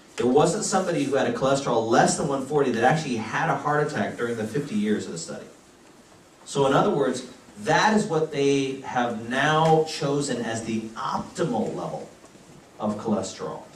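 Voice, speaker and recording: Amid noticeable background noise and audible room echo, a man with an American accent talks at a fairly quick pace with fairly high pitch and lively intonation. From United States. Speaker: physician giving health talks. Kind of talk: health lecture.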